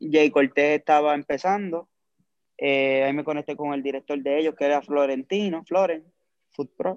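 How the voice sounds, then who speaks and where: In a normal speaking voice, a man talks at a fairly high pitch and a moderate pace with fairly even intonation. The sound is dry and close, with no echo. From Puerto Rico, Lares (west). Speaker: music video director. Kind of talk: casual interview.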